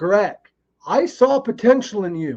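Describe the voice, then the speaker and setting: The man speaks in an animated tone. His pitch swings very widely. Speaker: podcast host. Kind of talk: casual chat. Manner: animated, ranting.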